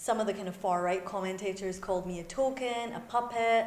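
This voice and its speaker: In a Scottish accent, a woman speaks at medium pitch and a moderate pace with ordinary pitch variation, and audible room echo. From Scotland, Glasgow. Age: young. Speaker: faith community leader. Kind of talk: lecture. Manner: conversational, with fillers.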